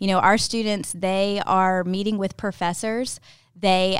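A woman with a Southern US accent speaks at a medium pitch with fairly even intonation, recorded very cleanly against a silent background. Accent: Southern American. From US South, Ocean Springs, Mississippi. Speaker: high school academy specialist, former teacher. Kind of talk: interview.

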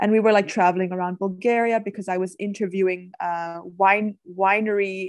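Speaking in a Danish accent, a woman uses a medium pitch, a moderate pace and a monotone, flat intonation. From Denmark, Copenhagen area. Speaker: wine tour business owner. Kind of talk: interview.

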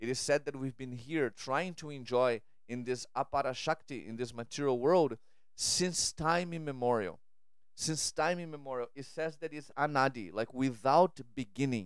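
A man speaks in a Portuguese accent. The recording is very clean and the background silent. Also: medium pitch for a man, ordinary pitch variation, moderate pace. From Brazil. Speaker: podcast host and spiritual speaker. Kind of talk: spiritual monologue. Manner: halting, frequent repetitions and fillers.

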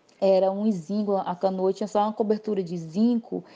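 Her tone dark and mellow, a woman speaks at a fairly slow pace with a medium pitch. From Brazil, Acre (Tarauacá). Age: 30s. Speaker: visual artist. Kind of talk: interview testimony. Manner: halting, many fillers.

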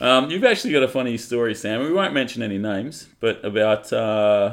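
With an Australian accent, a man speaks at medium pitch and a moderate pace with ordinary pitch variation, on a very clean recording with a silent background. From Western Australia (Collie). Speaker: podcast co-host. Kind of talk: casual chat.

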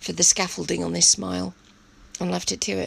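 This is a woman speaking with an English accent. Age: 50s. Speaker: podcast host. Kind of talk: personal monologue. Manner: hesitant, many fillers.

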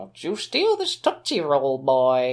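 Using a put-on character voice, the speaker talks at a fairly slow pace with a low-to-middle pitch. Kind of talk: respectability-politics lecturing. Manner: scolding, condescending.

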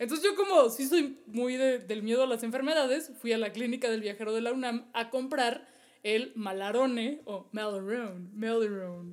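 A woman with an ordinary speaking voice, fairly high pitch, ordinary pitch variation and a moderate pace. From Mexico. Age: 30s. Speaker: travel podcast co-host. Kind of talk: casual chat.

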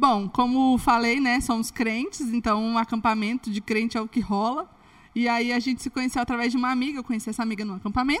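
At a very fast pace, a woman speaks in a high pitch with fairly even intonation. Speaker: former flight attendant turned comedy influencer. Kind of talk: casual chat.

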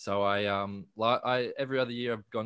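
In an Australian accent, a man speaks with fairly even intonation. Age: 20s. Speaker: independent musician. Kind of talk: casual interview.

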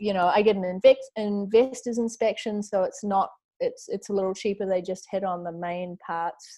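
A dark, mellow tone in a New Zealand accent, at a moderate pace with fairly even intonation. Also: woman, medium pitch for a woman. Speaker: model and real estate investor. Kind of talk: interview. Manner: chatty, frequent filler words.

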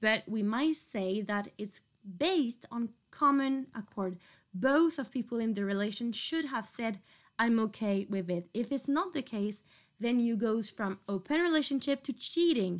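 Speaking at a fairly slow pace with lively intonation and a French accent, this voice comes through in a very clean recording with a silent background. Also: woman, fairly high pitch for a woman. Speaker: student. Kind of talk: casual chat.

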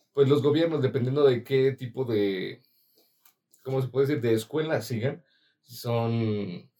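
The man's voice is medium in pitch, with a dark, mellow tone and ordinary pitch variation. He goes at a fairly slow pace, with long, frequent pauses. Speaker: podcast co-host and student. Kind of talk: casual chat.

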